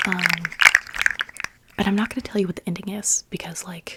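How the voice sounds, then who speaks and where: Whispering, with noticeable background noise. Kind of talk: whispered ASMR chat. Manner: whispered.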